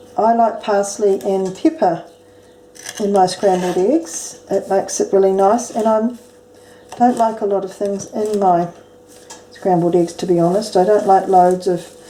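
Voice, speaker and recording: A woman speaks with a New Zealand accent at medium pitch and with ordinary pitch variation. Her pace is fairly slow with long, frequent pauses, and there is noticeable background noise. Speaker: home cook. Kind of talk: cooking tutorial to camera. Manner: casual.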